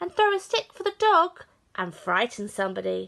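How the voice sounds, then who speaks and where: A woman in a put-on character voice, at a moderate pace. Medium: read story.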